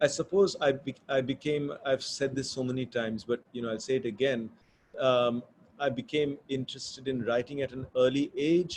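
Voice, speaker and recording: Fairly even intonation at a moderate pace. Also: man, medium pitch for a man. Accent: Bengali. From India, Bombay. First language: Bengali. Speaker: author. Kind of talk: interview conversation. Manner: thoughtful, hesitant with fillers.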